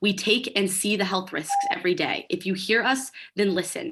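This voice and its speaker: Against a quiet background, a woman with a medium-pitched voice talks at a fairly quick pace. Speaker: schoolteacher. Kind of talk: public testimony. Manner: fast.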